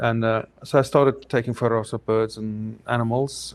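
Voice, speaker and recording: A man with a South African accent and fairly even intonation. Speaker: photographer. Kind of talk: interview.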